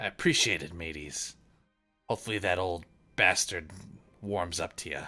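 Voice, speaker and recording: A man puts on a raspy character voice with a very deep, low pitch. He speaks at a moderate pace with long, frequent pauses, and faint music plays in the background. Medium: actual play. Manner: folksy pirate talk with 'aye' and 'matey'.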